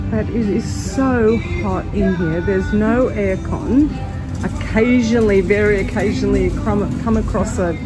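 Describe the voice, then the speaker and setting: Music plays clearly in the background. The speech moves at a fairly slow pace. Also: woman. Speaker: travel vlogger. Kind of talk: casual vlog chat. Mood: hot, mildly uncomfortable. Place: shop. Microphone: phone near.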